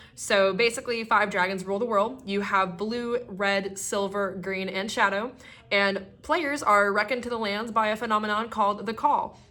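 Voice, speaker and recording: A woman speaks in a bright, sharp tone. Her intonation stays fairly even. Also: medium pitch for a woman, moderate pace. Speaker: YouTuber and cosplayer. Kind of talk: partly scripted vlog monologue. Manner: hesitant, with stutters and fillers; casual, chatty.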